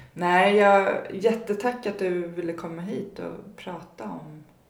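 Ordinary pitch variation comes through alongside audible room echo and noticeable background noise. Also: woman. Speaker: podcast host, recovering alcoholic. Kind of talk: casual interview.

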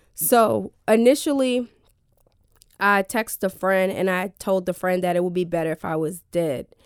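Lively intonation marks this moderate-paced speech in a New Jersey accent, recorded dry and close with no echo. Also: woman, medium pitch for a woman. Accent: New Jersey American. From New Jersey (Elizabeth, near Newark). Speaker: mental health advocate and podcaster. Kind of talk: radio interview, personal testimony.

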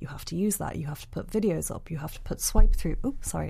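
A soft-spoken woman. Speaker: photographer and blogger. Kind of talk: casual chat. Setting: studio.

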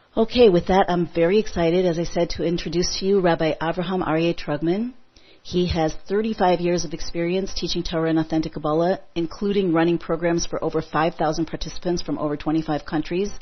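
Fairly low woman's voice, a plain, everyday voice, fairly quick and with hardly any pauses, in fairly even intonation. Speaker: online event host. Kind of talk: interview. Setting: phone call.

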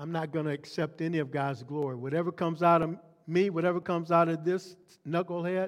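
Here a man has a plain, everyday voice and a fairly quick pace. His pitch sits fairly high, with ordinary variation. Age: 60s. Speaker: pastor. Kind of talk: sermon. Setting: church.

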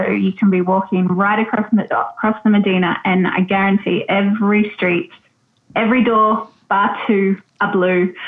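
With an Australian accent, a woman speaks at a fairly slow pace. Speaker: travel tour operator, expat. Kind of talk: casual interview chat. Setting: video call. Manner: hesitant, filler words.

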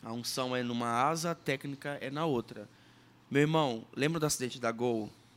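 Here is an ordinary speaking voice from a man at medium pitch. He talks at a moderate pace with fairly even intonation. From Sergipe, Brazil. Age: 30s. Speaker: musician and former radio presenter. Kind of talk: podcast interview, personal testimony and teaching.

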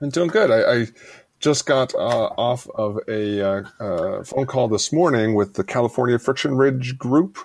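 A man speaks at a fairly slow pace with a medium pitch and ordinary pitch variation, in a plain, everyday voice. The recording is very clean, with a silent background. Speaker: podcast co-host. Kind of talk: casual podcast chat.

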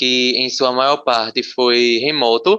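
A man speaks at a fairly slow pace in a medium-pitched voice with a bright, sharp tone. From Pernambuco, Brazil (Camaragibe). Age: young. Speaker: university student. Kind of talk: casual interview.

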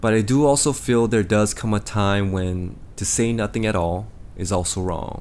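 A man with an American accent speaks at a moderate pace in a fairly low voice. His pitch varies normally, and the room echo is audible. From Los Angeles, US. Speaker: podcast host, K-pop industry figure. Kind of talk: solo podcast monologue.

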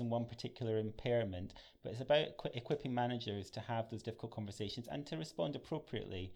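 A man with a Scottish accent speaks at a fairly quick pace. His voice sits at medium pitch. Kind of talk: professional, conversational.

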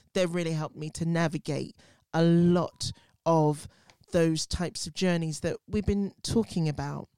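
A woman with a British accent speaks at a fairly low pitch and a moderate pace, dark and mellow in tone. Her intonation is monotone and flat, on a very clean recording with a silent background. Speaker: podcast host. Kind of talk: casual chat.

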